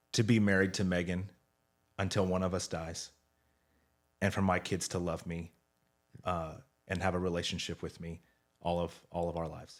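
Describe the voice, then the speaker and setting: On a very clean recording with a silent background, a man with a very deep, low pitch speaks at a moderate pace in a monotone, flat intonation, with long, frequent pauses. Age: 40s. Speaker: senior pastor. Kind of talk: casual chat.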